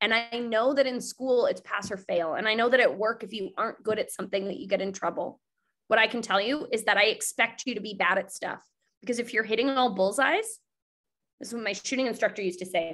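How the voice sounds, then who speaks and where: Very fast and animated, a woman talks at a fairly high pitch. Her pitch variation is ordinary. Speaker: network marketing team leader. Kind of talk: live webinar training.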